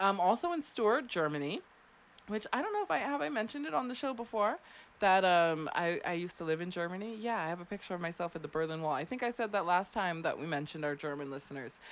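A woman with a Floridian accent, talking at a very fast pace, animated in tone and lively in intonation. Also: fairly low pitch for a woman. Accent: Florida American. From US South. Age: 30s. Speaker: radio host. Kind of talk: casual chat. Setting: studio.

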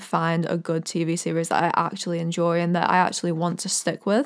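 A woman with an American accent at a very fast pace. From Orlando, Florida, US. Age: 20s. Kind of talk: casual solo podcast, faith talk. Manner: enthusiastic, warm, animated.

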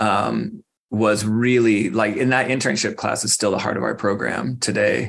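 A man's voice carries vocal fry and fairly even intonation. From Arizona, Phoenix. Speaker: school garden program director. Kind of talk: interview.

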